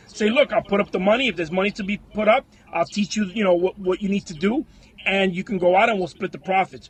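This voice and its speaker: Over noticeable background noise, a man with a high pitch talks very fast in an animated tone with ordinary pitch variation. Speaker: online selling coach. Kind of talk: live stream talk to viewers. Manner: high energy, animated.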